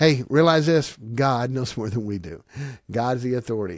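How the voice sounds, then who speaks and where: Against a silent background on a very clean recording, a man of medium pitch speaks in an animated tone at a moderate pace with very wide pitch swings. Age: 50s. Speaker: pastor. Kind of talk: sermon-style podcast monologue.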